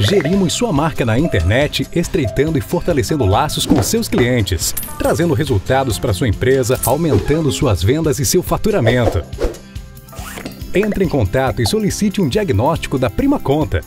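A man at a moderate pace with very wide pitch swings and very even loudness, dry sound with no echo, and clear music in the background. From Brazil. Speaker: voice-over announcer. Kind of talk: corporate video narration. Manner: calm. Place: studio. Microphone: studio mic.

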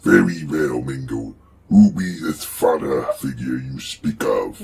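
A man uses a put-on character voice with a very deep, low pitch. He talks at a fairly slow pace. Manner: playful, roleplaying.

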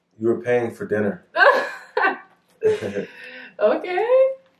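A man with an American accent speaks very slowly in an upbeat, playful tone, leaving long, frequent pauses. Audible room echo and light background noise sit behind him. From United States. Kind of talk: casual talk to camera. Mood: playful, laughing. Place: home room. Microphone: camera far.

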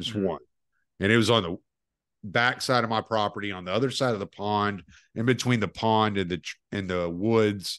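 Against a quiet background, a man with a Southern US accent speaks fairly low and fairly quickly, with fairly even intonation and long, frequent pauses. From US South. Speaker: podcast host. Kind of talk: casual chat.

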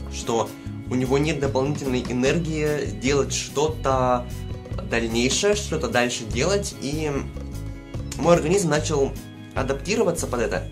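Over clear music in the background, a man speaks at a fairly slow pace with long, frequent pauses. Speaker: vlogger. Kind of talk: casual vlog chat. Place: home room.

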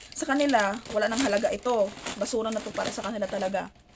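Fairly quick, fairly high speech from a woman, ordinary in pitch variation, over noticeable background noise. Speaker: overseas Filipino worker vlogger. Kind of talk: casual vlog. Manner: halting, many fillers.

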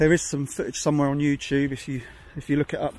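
The recording of a man has a dry sound with no echo and light background noise. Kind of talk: casual walking commentary. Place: open country. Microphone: phone near.

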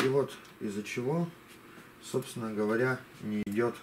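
A man speaks over noticeable background noise. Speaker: hobbyist robot builder. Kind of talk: video tutorial and demonstration. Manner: hesitant with filler sounds. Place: home room.

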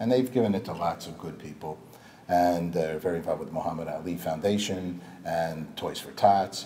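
A man with a very deep, low pitch at a fairly quick pace, ordinary pitch variation and big swings in loudness over light background noise. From New York suburbs. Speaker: TV and marketing veteran; interview guest. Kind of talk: interview. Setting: Hollywood office. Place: studio. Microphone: lapel.

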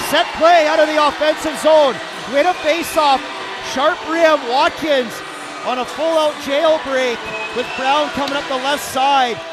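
Noticeable background noise sits under the voice. The pace is fairly slow. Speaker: hockey colour commentator. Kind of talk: live hockey colour commentary and analysis. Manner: enthusiastic, conversational analysis.

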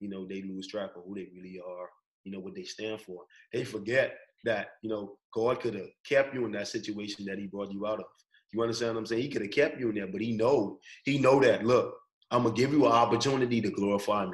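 Talking at a very fast pace with ordinary pitch variation and big swings in loudness, a man is heard against a quiet background. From Bahamas. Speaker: college track and field athlete; guest. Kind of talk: casual interview. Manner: casual, slangy. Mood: earnest, preachy about faith. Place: home room. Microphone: video call.

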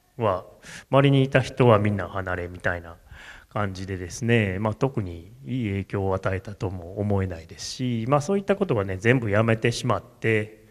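Loudness swings widely as a man speaks at a moderate pace. His pitch is fairly low, with ordinary variation. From Japan, Kamo, Tokushima; Tokushima, Japan. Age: 40s. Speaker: tea farmer; speaker. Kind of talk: solo stage talk. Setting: stage with audience. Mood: relaxed, reflective, smiling. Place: hall. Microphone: handheld.

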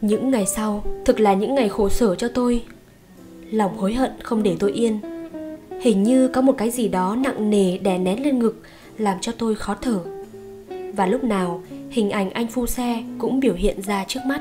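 A woman with a Northern Vietnamese accent speaks at a moderate pace and fairly high pitch, with long, frequent pauses. Music plays in the background. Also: ordinary pitch variation. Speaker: audiobook narrator. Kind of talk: audiobook short story reading.

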